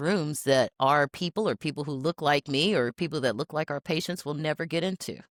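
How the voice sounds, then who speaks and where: On a very clean recording with a silent background, a woman with an American accent speaks at a fairly quick pace in a very deep, low pitch, with ordinary pitch variation and a dry, close sound with no echo. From Tennessee, US South. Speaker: healthcare executive. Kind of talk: casual interview chat.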